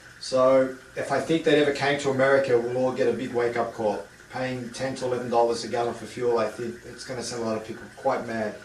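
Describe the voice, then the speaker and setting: A man with an Australian accent speaks very fast at a medium pitch with fairly even intonation. Noticeable background noise and audible room echo fill the recording. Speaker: home distilling equipment seller. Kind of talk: product demonstration. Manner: halting, many fillers and repeats.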